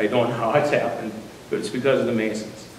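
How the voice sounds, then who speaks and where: A man is speaking in a room with audible echo. Noticeable background noise comes through too. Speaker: newly installed lodge master. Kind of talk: installation speech. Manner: fast.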